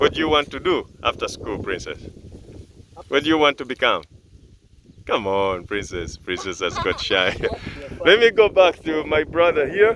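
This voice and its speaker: With a Ugandan accent, a man talks at a moderate pace. He leaves long, frequent pauses. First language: Luganda. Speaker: farm video presenter. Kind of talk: on-site interview. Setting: outdoors.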